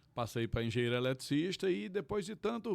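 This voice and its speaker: A man at medium pitch with lively intonation and a fairly quick pace. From Pernambuco sertão, Tacaratu. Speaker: forró venue owner, lawyer. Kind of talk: interview. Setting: studio.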